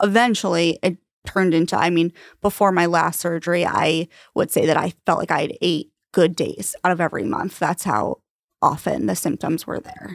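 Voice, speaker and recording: With an American accent, a woman speaks at a moderate pace and fairly low pitch, showing vocal fry and ordinary pitch variation, in a dry, close sound with no echo on a very clean recording with a silent background. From Long Island, New York. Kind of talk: casual interview.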